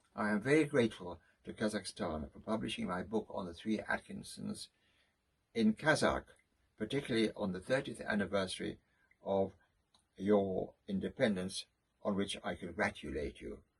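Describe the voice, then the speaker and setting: Using a British accent, a man with a fairly low pitch and vocal fry talks at a moderate pace with lively intonation, big swings in loudness, and long, frequent pauses. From Britain. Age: 80s+. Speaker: writer, lecturer, photographer. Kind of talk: formal video greeting.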